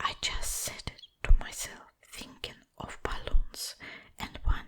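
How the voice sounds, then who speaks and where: The voice is whispering. The pace is very slow. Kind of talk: bedtime story reading. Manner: soft, whispered.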